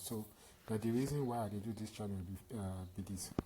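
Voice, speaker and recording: In a dark, mellow, somewhat breathy voice of medium pitch, a man talks at a fairly quick pace with fairly even intonation. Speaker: tutorial channel host. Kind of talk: casual talk to camera.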